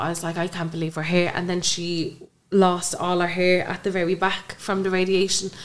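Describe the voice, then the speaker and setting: A woman with an Irish accent speaks at a moderate pace in a fairly low, monotone, flat voice. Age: 20s. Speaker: bereaved mother. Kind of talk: interview, personal testimony.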